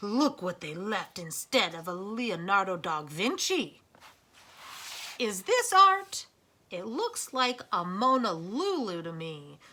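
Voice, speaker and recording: Putting on a gruff character voice, a woman at a medium pitch speaks at a fairly slow pace with lively intonation and big swings in loudness. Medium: read story. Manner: gruff, commanding.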